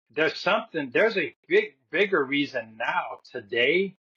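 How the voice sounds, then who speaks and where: At a fairly slow pace, a man talks with lively intonation in an ordinary speaking voice. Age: 60s. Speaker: wellness practitioner. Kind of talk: interview.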